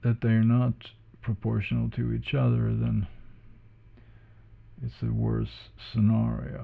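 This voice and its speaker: A man with a non-native accent at a fairly slow pace, with long, frequent pauses. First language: not English. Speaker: drawing tutorial creator. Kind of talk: tutorial. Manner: halting.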